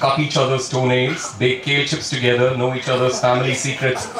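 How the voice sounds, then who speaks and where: With audible room echo and noticeable background noise, a man talks at a moderate pace in a medium-pitched voice. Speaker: stand-up comedian. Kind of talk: stand-up.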